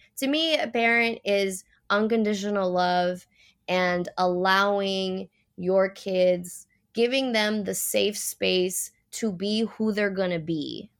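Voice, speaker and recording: Very slow speech in a Puerto Rican accent, with ordinary pitch variation, in a very clean recording with a silent background. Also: woman, medium pitch for a woman. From Puerto Rico. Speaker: professional mermaid and activist. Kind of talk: casual interview.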